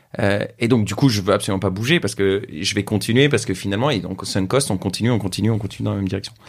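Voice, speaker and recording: Talking very fast, a man keeps his pitch fairly low. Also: ordinary pitch variation, hardly any pauses. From France. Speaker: social entrepreneur. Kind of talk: casual interview conversation.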